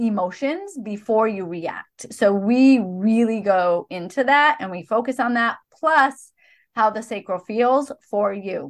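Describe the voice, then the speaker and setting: In a normal speaking voice, a woman with a fairly high pitch shows ordinary pitch variation over a quiet background. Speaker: podcast host. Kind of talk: podcast conversation, promoting offers.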